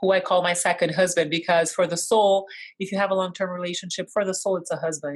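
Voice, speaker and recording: A woman speaks fairly quickly in a fairly low, flat, monotone voice. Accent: Portuguese. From Brazil. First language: Portuguese. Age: 40s. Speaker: constellations facilitator and teacher. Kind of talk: online course session.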